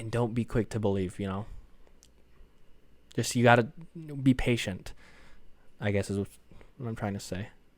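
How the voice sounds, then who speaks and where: Pausing long and often, a man speaks at a moderate pace with a fairly low pitch and fairly even intonation on a very clean recording with a silent background. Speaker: podcast host. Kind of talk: solo podcast monologue. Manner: monotone.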